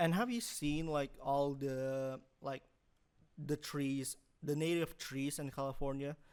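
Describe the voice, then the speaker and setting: Fairly slow pace and fairly even intonation. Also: man, fairly high pitch for a man. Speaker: student podcast host. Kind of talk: casual chat. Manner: halting.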